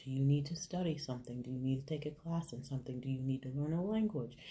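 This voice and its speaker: Soft-spoken and somewhat breathy, a woman speaks with a very deep, low pitch, a dark, mellow tone and fairly even intonation. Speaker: faith vlogger. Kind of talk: inspirational talk. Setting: hotel room.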